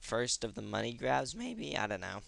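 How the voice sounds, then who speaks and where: Speaking at a fairly quick pace, the man has a bright, sharp tone edged with vocal fry. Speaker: gaming video creator. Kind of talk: tutorial. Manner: halting; casual.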